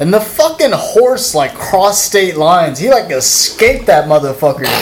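A man speaks in a high voice at a moderate pace. Noticeable background noise runs underneath. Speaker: podcast host. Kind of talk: casual chat. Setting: studio. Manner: loud.

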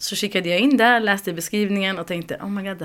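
Fairly quick delivery in an ordinary speaking voice, the pitch varying in an ordinary way. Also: woman. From Uppsala, Sweden. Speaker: community group organizer. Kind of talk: interview.

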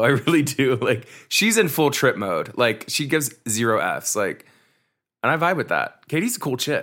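Bright and sharp in tone, a man speaks with lively intonation at a moderate pace in a very clean recording with a silent background. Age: 30s. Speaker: podcast host. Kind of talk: casual chat.

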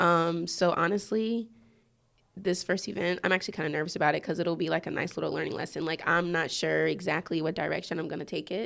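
A woman with an American accent talks at a very fast pace with vocal fry. Her pitch is fairly low and her intonation fairly even. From Georgia, US. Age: 20s. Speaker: DJ. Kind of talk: casual chat interview.

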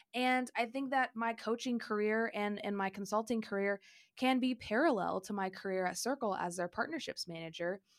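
A woman talks in an animated tone at a fairly high pitch and a moderate pace, with ordinary pitch variation. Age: 20s. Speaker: podcast host and career coach. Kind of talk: solo podcast monologue.

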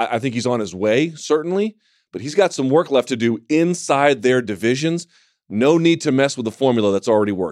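In a normal speaking voice with lively intonation, the speech moves at a fairly quick pace on a very clean recording with a silent background and a dry, close sound with no echo. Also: man, medium pitch for a man. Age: 30s. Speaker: MMA podcast host. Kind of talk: casual chat. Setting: studio.

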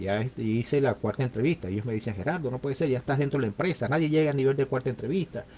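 The voice is somewhat breathy, with ordinary pitch variation, moving at a very fast pace with hardly any pauses. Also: man, medium pitch for a man. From Venezuela, Maracaibo. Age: 50s. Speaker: engineer and returned migrant. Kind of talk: interview testimony. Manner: halting, with many repetitions.

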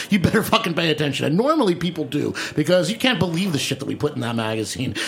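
A man speaks in an animated tone at a very fast pace, his high voice making very wide pitch swings. Noticeable background noise sits behind him. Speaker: radio host. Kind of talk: casual comedic banter. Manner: animated, joking.

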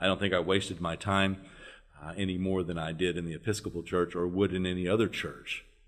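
In an American accent, a man talks at a very fast pace. His pitch is very deep and low, and his intonation is monotone and flat. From US South, northern Louisiana. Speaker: former religious group member. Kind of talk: casual interview.

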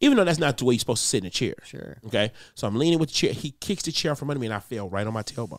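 Talking at a very fast pace with hardly any pauses, a man sounds animated with lively intonation on a very clean recording with a silent background. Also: medium pitch for a man. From Detroit, US. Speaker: comedian. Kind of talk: casual chat.

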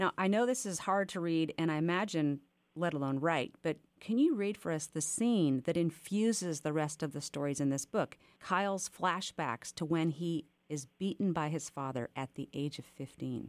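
A woman with an unremarkable speaking voice and a fairly low pitch uses lively intonation, the sound dry and close with no echo on a very clean recording with a silent background. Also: moderate pace. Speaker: podcast host. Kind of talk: interview conversation.

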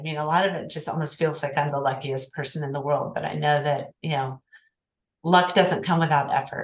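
Speaking with an American accent, a woman uses a very deep, low pitch with vocal fry. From Oklahoma City. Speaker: accounting firm partner. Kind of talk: interview.

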